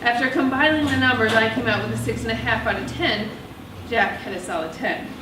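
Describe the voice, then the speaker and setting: Speaking at a fairly quick pace, a woman with a fairly high voice uses lively intonation over noticeable background noise. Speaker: author and narrator. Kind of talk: first-person novel narration. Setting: live theatre.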